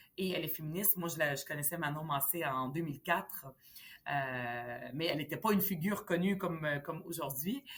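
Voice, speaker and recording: A woman with a very deep, low pitch speaks at a fairly quick pace with ordinary pitch variation. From Lebanon, then Montreal from age 10. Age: 40s. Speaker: politician. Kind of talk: interview. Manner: hesitant, many fillers.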